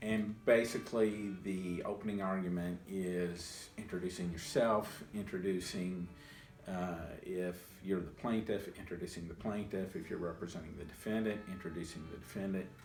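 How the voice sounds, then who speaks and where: A man with an American accent and a very deep, low pitch, at a moderate pace with fairly even intonation, over music in the background. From Louisville, Kentucky, USA. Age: 50s. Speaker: person who stutters, former attorney. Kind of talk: interview answer.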